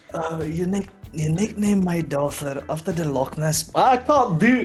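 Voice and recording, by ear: The talking is fairly slow. Music can be heard in the background.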